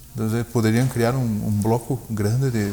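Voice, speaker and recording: Monotone and flat, a man speaks at a fairly quick pace. His medium-pitched voice has a dark, mellow tone. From Brazil, German parents. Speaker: purchasing manager in the auto industry. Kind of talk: interview conversation. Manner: hesitant, many fillers.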